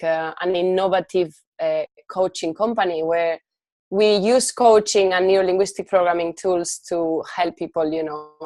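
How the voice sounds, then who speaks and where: A woman speaks in a Spanish accent at a medium pitch and a moderate pace. Her intonation is fairly even, and the sound is dry and close with no echo. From Spain. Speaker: life coach and entrepreneur. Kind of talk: podcast interview.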